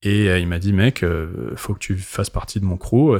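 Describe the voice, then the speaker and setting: Fairly low-pitched male speech at a fairly slow pace with ordinary pitch variation, very clean recording and silent background. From Paris, France. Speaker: DJ. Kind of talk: casual chat. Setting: club venue.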